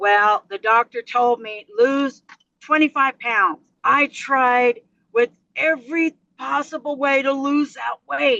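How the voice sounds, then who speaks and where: In a raised, projected voice, a woman speaks at a very slow pace with a high pitch, ordinary pitch variation and a bright, sharp tone, the sound dry and close with no echo. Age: 60s. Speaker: truck driver. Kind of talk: interview testimony. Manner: animated.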